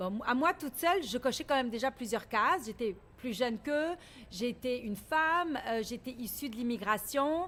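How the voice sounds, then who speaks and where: A high-pitched woman at a moderate pace, with lively intonation, in a very clean recording with a silent background. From Lebanon (Beirut). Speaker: business leader, founder of women's governance organization. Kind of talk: radio interview. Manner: assertive, resists interruption.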